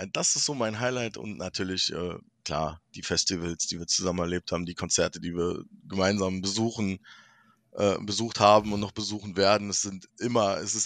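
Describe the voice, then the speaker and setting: Over a quiet background, a man with a fairly low pitch speaks at a moderate pace with ordinary pitch variation, the sound dry and close with no echo. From Berlin. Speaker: podcast guest. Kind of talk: casual chat.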